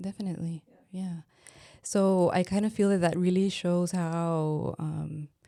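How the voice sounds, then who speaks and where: A woman with a Spanish accent and a dark, mellow tone, fairly low in pitch, her intonation monotone and flat, her pace fairly slow. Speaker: anthropologist. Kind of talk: interview. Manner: halting.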